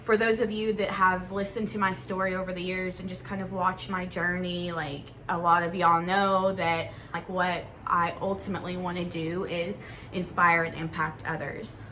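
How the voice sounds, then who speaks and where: A woman's medium-pitched voice at a moderate pace, monotone and flat in intonation, with audible room echo. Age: 20s. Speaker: vlogger. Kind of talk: casual vlog monologue. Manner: halting.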